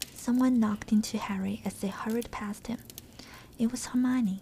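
Soft-spoken and gentle in tone, a woman talks at a fairly high pitch with fairly even intonation over light background noise. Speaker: ASMR content creator. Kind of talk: audiobook-style reading of a novel, ASMR. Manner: soft-spoken, gentle. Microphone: studio mic.

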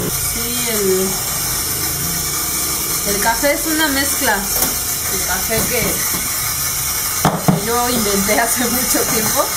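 Music plays behind a woman who speaks very slowly, with long, frequent pauses. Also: ordinary pitch variation. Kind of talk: interview answer. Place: cafe. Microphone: camera far.

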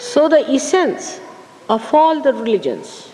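A very slow delivery over light background noise. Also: woman. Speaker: spiritual teacher. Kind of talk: lecture. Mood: calm, contemplative. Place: hall.

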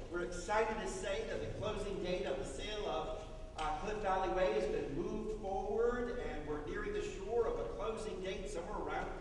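Amid strong room echo and noticeable background noise, a man talks at a moderate pace with hardly any pauses. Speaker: minister. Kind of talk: church announcements. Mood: upbeat, enthusiastic. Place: church.

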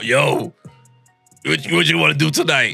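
Faint music plays in the background while a man uses a raspy, put-on character voice at a medium pitch and a fairly slow pace.

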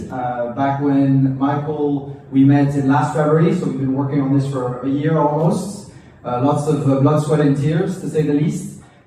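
In a room with strong echo and light background noise, a man speaks in a monotone, flat intonation at a moderate pace with hardly any pauses. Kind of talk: welcome speech. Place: cafe.

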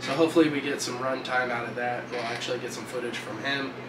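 Speech comes at a fairly quick pace with fairly even intonation over noticeable background noise. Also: man. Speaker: RC hobby video host. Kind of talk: casual vlog with product demo; casual vlog chat. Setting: outdoors at a lake. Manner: casual, frequent filler words. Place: workshop.

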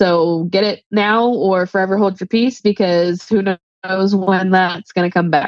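The speech comes at a fairly slow pace with fairly even intonation, in a dry sound with no echo and a quiet background. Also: woman. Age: 30s. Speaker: guest seeking money advice; guest. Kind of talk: personal money coaching conversation. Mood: candid, sometimes rueful. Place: home room. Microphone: video call.

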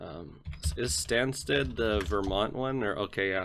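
Lively in intonation, a man speaks at a fairly slow pace in a fairly low pitch. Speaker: gaming YouTuber. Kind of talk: gameplay commentary. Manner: hesitant, many filler words.

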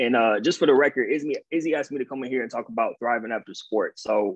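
A man at a fast pace, with fairly even intonation and a slightly husky edge.

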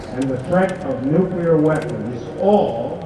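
A man speaks with audible room echo. Noticeable background noise is also present. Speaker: speaker. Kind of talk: public speech. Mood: grave, earnest. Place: street.

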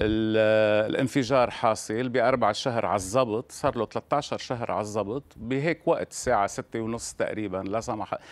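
A man at a fairly slow pace, with fairly even intonation and hardly any pauses. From Lebanon. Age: 60s. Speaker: visual artist; interviewee. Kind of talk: remote interview. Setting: remote link from Beirut. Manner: halting. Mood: emotional, bitter about crises. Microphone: lapel.

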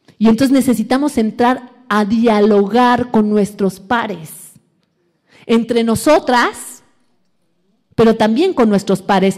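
A woman's fairly high voice, very slow with long, frequent pauses, ordinary pitch variation and a quiet background. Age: 40s. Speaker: academic lecturer on decolonial feminism. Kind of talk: lecture. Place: hall. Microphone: podium.

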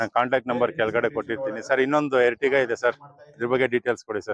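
Words come out very fast, and the intonation stays fairly even throughout. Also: man, medium pitch for a man.

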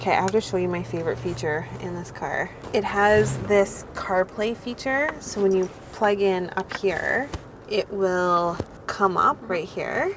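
A woman talks at a fairly slow pace, the sound dry with no echo and noticeable background noise. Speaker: vlogger. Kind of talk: casual vlog chat. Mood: upbeat, enthusiastic. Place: car.

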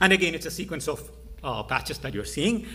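A man talks in a bright, sharp tone with lively intonation. Vocal fry runs through his voice. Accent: Indian. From India. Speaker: AI researcher. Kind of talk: conference talk. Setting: stage with audience. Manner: fast talker; halting.

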